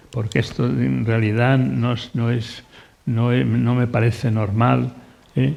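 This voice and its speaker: Speaking very slowly, a man holds a medium pitch. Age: 80s+. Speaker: painter. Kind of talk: panel discussion. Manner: halting, many repetitions.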